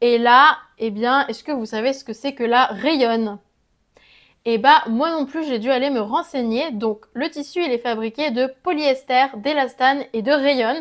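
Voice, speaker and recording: In a very clean recording with a silent background, a woman talks at a fairly slow pace with a high pitch and ordinary pitch variation. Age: 20s. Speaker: sewing vlogger. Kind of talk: informational explainer; product review vlog. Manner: casual.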